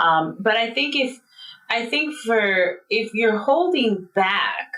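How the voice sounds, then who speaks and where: Speaking very slowly, a woman uses a fairly high voice with very wide pitch swings. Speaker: marriage and family therapist. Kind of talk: interview. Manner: animated.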